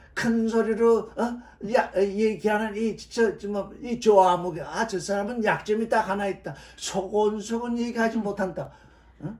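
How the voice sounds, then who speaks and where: Audible room echo surrounds the voice. The delivery is fairly slow. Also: man, high pitch for a man. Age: 70s. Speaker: Bible teacher. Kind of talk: sermon. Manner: loud; animated.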